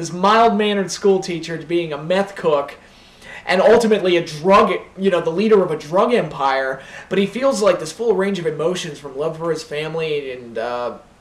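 With audible room echo, a man speaks at a moderate pace and high pitch, with ordinary pitch variation. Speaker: vlogger. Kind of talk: casual vlog chat. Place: home room. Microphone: camera far.

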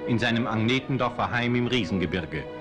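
A man is speaking. There is music in the background. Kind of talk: documentary narration.

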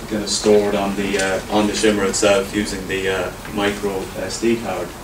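A man with a fairly low pitch speaks at a moderate pace in a flat, monotone way, with noticeable background noise. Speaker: presenter. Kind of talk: presentation talk. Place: meeting room.

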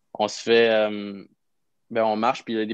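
Over a quiet background, a man with a Quebec accent speaks at a fairly quick pace and fairly low pitch in a flat monotone, with a dry sound and no echo. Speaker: professional hockey player; podcast guest. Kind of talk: casual chat. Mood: relaxed, amused anecdotes. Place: home room. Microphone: video call.

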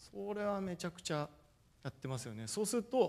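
At a fairly quick pace, a man talks with a high pitch. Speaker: football coach. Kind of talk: lecture. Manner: formal. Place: hall. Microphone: podium.

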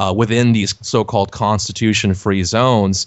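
An unremarkable speaking voice carries an American accent. The intonation stays fairly even. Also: man. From South Texas (Laredo). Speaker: podcast host and website editor. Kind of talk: interview.

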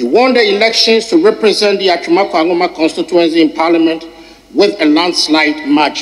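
A man is speaking at a fairly quick pace. His pitch is fairly high. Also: fairly even intonation.

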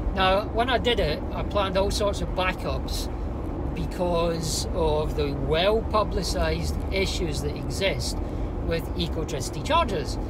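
A man's voice amid loud background noise. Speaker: car vlogger. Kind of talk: casual vlog chat. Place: car. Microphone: lapel.

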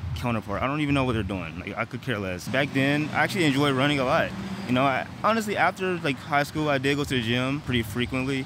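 A man's very fast speech comes through in a dry sound with no echo, while noticeable background noise runs underneath. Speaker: vlogger. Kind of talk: casual vlog chat. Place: street. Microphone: earbuds.

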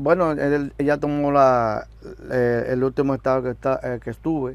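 At a moderate pace and with fairly even intonation, a man speaks with long, frequent pauses in a dry sound with no echo. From Dominican Republic. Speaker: musician, drummer. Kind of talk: interview. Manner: halting. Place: studio.

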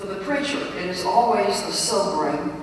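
A woman speaks at a fairly slow pace. Strong room echo and light background noise fill the recording. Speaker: preacher. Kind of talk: lecture. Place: church.

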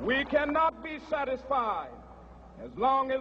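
A man with an American accent and an extremely high pitch at a moderate pace, over light background noise. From United States. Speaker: minister and civil rights leader. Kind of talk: public speech to a mass rally. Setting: outdoors, PA system. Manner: oratorical, rhythmic, impassioned. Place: stage. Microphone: podium.

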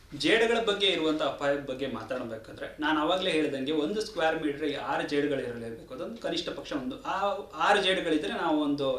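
A man's fairly high voice with lively intonation, amid audible room echo and noticeable background noise. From Uttara Kannada, Karnataka, India. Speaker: forest officer. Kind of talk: radio interview.

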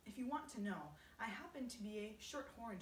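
Ordinary rises and falls in pitch during plain reading aloud

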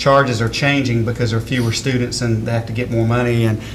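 Noticeable background noise surrounds the recording. A man talks at a very fast pace. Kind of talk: meeting report. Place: meeting room. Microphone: podium.

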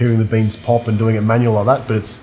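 A man speaking at a very fast pace in a monotone, flat intonation, with light background noise. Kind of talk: interview answer. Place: cafe.

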